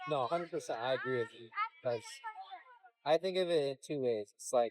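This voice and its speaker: An American-accented man with an unremarkable speaking voice and a fairly high pitch talks at a fairly quick pace, with ordinary pitch variation and big swings in loudness. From Texas, Houston. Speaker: vlogger. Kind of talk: casual chat.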